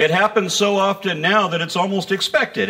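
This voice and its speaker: A man speaks in a raised, projected, high-pitched voice with an animated tone. Noticeable background noise runs underneath. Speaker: atheist activist and speaker. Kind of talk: stand-up comedy. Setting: stage with audience. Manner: animated, irreverent, sarcastic; punchy joke delivery with pauses for audience laughter.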